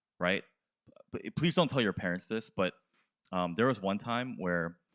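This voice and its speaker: A man with an American accent on a very clean recording against a silent background. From US, Korean American. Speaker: youth pastor. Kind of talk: sermon. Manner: halting.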